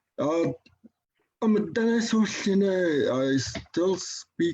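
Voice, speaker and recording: A man speaks with very wide swings in pitch. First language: Dene. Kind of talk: conference talk. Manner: halting, many fillers.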